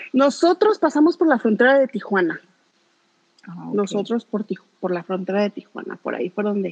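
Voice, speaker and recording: Her fairly high voice moving quickly, a woman swings very widely in pitch and loudness, recorded with a dry, close sound and no echo. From Mexico City. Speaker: radio co-host. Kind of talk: casual chat.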